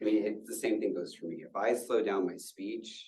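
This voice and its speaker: Audible room echo follows a man speaking at a moderate pace. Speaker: university staff presenter. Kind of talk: lecture. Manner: filler words.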